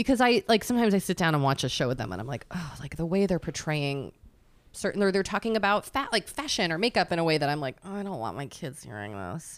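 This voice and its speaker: Very fast speech with vocal fry and very wide pitch swings. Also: woman, fairly low pitch for a woman. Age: 40s. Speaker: podcast co-host. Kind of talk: casual chat.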